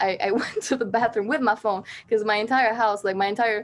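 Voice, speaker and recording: In an Albanian accent, a woman speaks at a fairly high pitch with fairly even intonation. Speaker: singer-songwriter. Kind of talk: casual interview chat.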